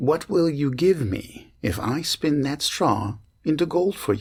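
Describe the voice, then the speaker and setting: Putting on a character voice, a man speaks with lively intonation and a fairly high pitch. His pace is fairly slow. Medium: read story. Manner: sly, bargaining.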